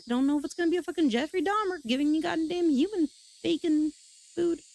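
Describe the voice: Speaking at a fairly quick pace, a woman uses a high pitch with vocal fry.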